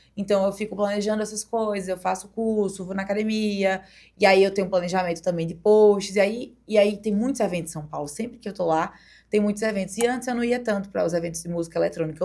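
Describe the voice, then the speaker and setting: A woman at a very fast pace, medium in pitch, with fairly even intonation. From Brazil, Paraíba (Campina Grande). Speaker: DJ and former beauty queen. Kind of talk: podcast interview. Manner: casual, conversational.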